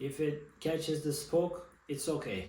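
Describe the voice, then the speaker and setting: A man speaks at a fairly high pitch with a Turkish accent. Audible room echo surrounds his voice. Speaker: bike mechanic hobbyist YouTuber. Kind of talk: tutorial. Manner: halting.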